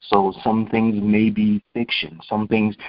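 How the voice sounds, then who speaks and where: This is a man talking. His pitch sits fairly low. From US, upstate New York (Rochester). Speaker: counselor and author. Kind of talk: interview. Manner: halting, many fillers.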